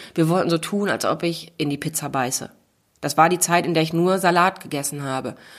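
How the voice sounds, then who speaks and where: In an unremarkable speaking voice, a woman talks at a fairly low pitch with fairly even intonation on a very clean recording with a silent background. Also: fairly quick pace. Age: 30s. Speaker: author and motivational speaker. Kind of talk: casual chat. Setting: makeshift home podcast booth.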